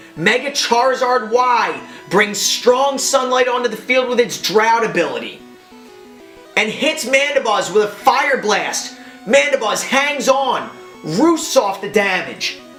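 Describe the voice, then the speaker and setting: Music plays in the background as the speaker talks at a fairly slow pace with an American accent. The tone is energetic, and the pitch varies in an ordinary way. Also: man, extremely high pitch for a man. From United States, southern New Jersey. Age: 20s. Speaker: aspiring esports commentator. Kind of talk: esports match commentary audition. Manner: hyped, energetic.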